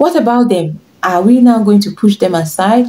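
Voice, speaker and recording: A woman speaks with a Nigerian accent in a dark, mellow, somewhat breathy tone. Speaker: fashion and lifestyle vlogger; lifestyle vlogger. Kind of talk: tutorial. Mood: warm, encouraging. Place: home room.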